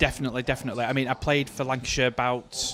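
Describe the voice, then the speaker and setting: Over noticeable background noise, a man with a Mancunian accent talks at a very fast pace and a medium pitch. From Manchester, northern England. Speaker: darts commentator and county player. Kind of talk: live commentary. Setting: live darts event venue.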